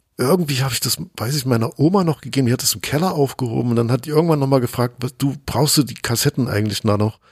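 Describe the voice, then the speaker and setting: A man speaks very fast at a medium pitch, with hardly any pauses. His voice is somewhat breathy, with ordinary pitch variation and a dry, close sound with no echo. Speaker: DJ and podcaster. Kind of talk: interview. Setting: remote call from home office.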